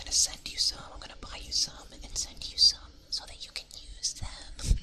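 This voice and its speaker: The background noise is noticeable. A whisper moves along at a moderate pace. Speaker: ASMR streamer. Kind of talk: ASMR livestream chat. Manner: soft-spoken.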